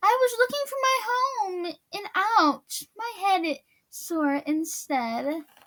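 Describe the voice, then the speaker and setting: An extremely high-pitched put-on character voice from a woman, very slow, with very wide pitch swings. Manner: plaintive, complaining.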